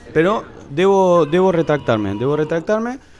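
A man is speaking. His pitch swings very widely. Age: 30s. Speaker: podcast co-host. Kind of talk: casual chat.

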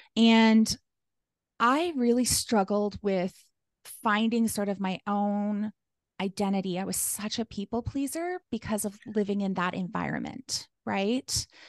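A woman speaks at a fairly slow pace. Her pitch is medium, with ordinary pitch variation. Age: 40s. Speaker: life coach. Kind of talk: casual interview.

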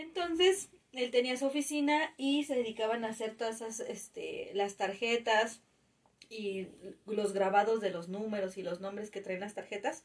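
This woman has an ordinary speaking voice, pitched fairly high. She talks at a fairly slow pace with lively intonation. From Mexico City. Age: 30s. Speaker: podcast co-host, parent. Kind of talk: casual chat.

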